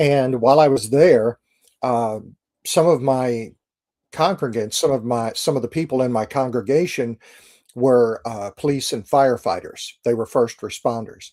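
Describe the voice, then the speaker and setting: A man at a moderate pace and medium pitch, with ordinary pitch variation and an American accent. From US Midwest, St. Louis, Missouri. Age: 60s. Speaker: Navy chaplain. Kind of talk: interview.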